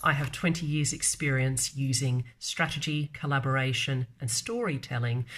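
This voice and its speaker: Somewhat breathy and very deep, low in pitch, a woman speaks with an Australian accent. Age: 40s. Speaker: marketer and vlogger. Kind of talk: casual live video talk. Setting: live stream. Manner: hesitant, many fillers.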